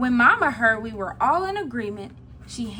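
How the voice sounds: Someone is reading aloud. The voice sounds natural.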